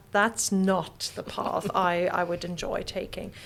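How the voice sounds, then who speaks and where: Noticeable background noise accompanies this recording. A woman speaks at a medium pitch and a fairly slow pace. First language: German. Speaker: professor. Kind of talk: interview. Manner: halting, many fillers.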